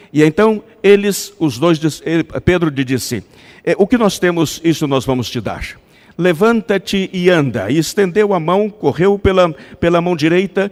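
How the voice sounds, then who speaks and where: A man's high-pitched voice with a non-native accent, at a moderate pace, the sound dry and close with no echo. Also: ordinary pitch variation. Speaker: pastor. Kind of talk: sermon.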